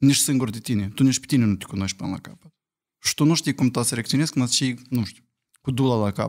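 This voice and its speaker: Over a quiet background, the voice moves at a very fast pace with big swings in loudness and ordinary pitch variation. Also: man, medium pitch for a man. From Moldova. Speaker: podcast guest with partner; podcast guest. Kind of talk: casual chat. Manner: animated. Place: studio. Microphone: studio mic.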